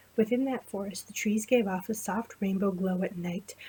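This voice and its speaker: Quietly, a woman speaks at a moderate pace and medium pitch with fairly even intonation. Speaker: amateur storyteller. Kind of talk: fantasy story reading.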